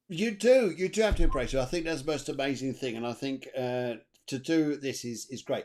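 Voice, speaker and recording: An enthusiastic man with an English accent, fairly high-pitched, at a fairly quick pace with very wide pitch swings. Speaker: interview host. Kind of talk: interview. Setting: live stream.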